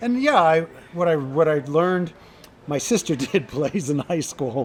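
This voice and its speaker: At a moderate pace, a man with an American accent and a fairly high pitch uses an ordinary speaking voice with ordinary pitch variation. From New York. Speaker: restaurant promoter and owner. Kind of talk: podcast interview.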